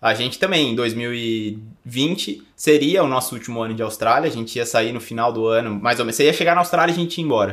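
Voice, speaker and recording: A man with an ordinary speaking voice and medium pitch talks at a fairly quick pace with hardly any pauses and ordinary pitch variation. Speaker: podcast co-host. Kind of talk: casual chat. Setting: recording in Bonito, Brazil.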